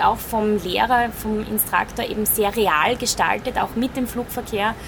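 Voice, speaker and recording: A woman speaks in a fairly high pitch with monotone, flat intonation at a moderate pace, with noticeable background noise. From Styria, Austria. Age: 30s. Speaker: airline first officer. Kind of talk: interview. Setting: flight simulator.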